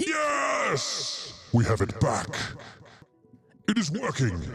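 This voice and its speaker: A man puts on a character voice and speaks at a very slow pace. Faint music plays in the background. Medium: game stream. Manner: stilted, formal.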